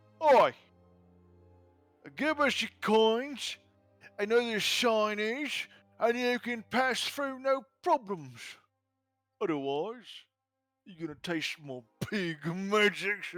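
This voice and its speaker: A gruff, fairly high-pitched put-on character voice speaks at a very slow pace with long, frequent pauses. Faint music plays in the background. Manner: menacing, demanding tribute.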